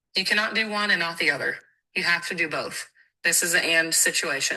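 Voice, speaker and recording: Speaking at a fairly quick pace, the woman has a fairly low pitch, a bright, sharp tone and ordinary pitch variation. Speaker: network marketing team leader. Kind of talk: motivational talk on a team call. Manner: animated.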